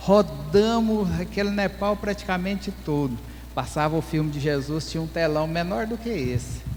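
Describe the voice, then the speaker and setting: A man with a rural Brazilian accent, noticeable background noise behind him. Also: moderate pace. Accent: rural Brazilian accent, unchanged. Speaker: pastor and missionary. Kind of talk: testimony.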